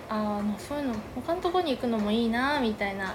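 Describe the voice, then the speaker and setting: With noticeable background noise and audible room echo, a woman speaks at a fairly high pitch with ordinary pitch variation. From Yamagata, Japan (rural Kaneyama). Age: 20s. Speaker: podcast co-host, cafe owner. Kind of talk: casual chat.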